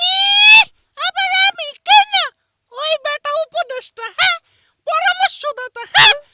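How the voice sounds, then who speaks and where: This is a cartoonish character voice pitched extremely high. It moves at a fairly slow pace. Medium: puppet. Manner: threatening, blustering.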